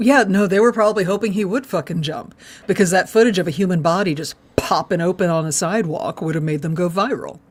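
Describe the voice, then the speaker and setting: A woman with a slight Texan accent talks at a very fast pace in a medium pitch, with ordinary pitch variation. Noticeable background noise is present. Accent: Texas accent, slight. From Texas. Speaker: podcast co-host. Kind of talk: casual chat. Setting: live stream.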